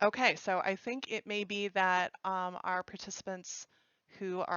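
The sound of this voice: The speaker reads aloud. It is an unforced reading voice.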